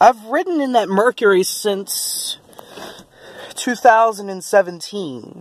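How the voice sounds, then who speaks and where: Very slow speech in a dry sound with no echo. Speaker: car owner's child reviewer. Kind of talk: casual car review to camera. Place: street. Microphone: phone near.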